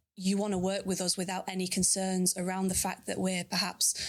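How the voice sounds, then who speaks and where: With a Manchester accent, a woman speaks at a moderate pace and medium pitch on a very clean recording with a silent background. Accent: northern English (Manchester). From northern England, Bolton near Manchester. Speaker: sales manager. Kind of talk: interview. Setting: live recording at a consulate.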